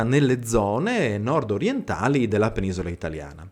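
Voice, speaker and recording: Here a man speaks at medium pitch and a moderate pace. The recording is very clean, with a silent background. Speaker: history channel host, living history presenter. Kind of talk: educational history talk. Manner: hesitant with fillers and self-corrections.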